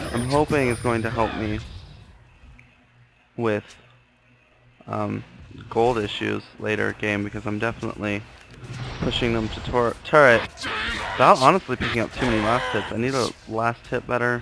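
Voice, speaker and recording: A man's medium-pitched voice at a moderate pace, with long, frequent pauses and music in the background. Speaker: gamer. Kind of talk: video game commentary. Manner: quiet, soft-spoken.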